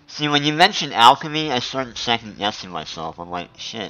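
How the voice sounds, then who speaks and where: With music in the background, a man talks fairly quickly, his pitch swinging very widely. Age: 40s. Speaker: gaming streamer. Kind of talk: casual chat.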